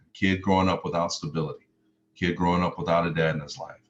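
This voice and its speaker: Speaking at a very fast pace, a man with an American accent keeps his intonation fairly even. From US South, Mississippi, then Chicago. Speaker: motivational speaker, former pro football player. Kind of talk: motivational speech.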